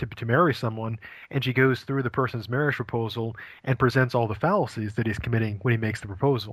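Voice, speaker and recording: In a very clean recording with a silent background, a man with an American accent and an unremarkable speaking voice speaks at a medium pitch with fairly even intonation. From Maine, US. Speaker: philosophy professor. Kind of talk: interview.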